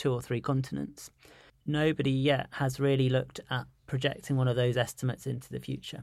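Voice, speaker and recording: This man speaks with a London accent and fairly even intonation. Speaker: physician and researcher. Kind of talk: interview.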